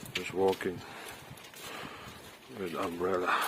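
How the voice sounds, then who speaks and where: A very deep, low male voice with audible room echo and noticeable background noise. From Philippines. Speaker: vlogger. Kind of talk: casual vlog narration. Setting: outdoors in rain.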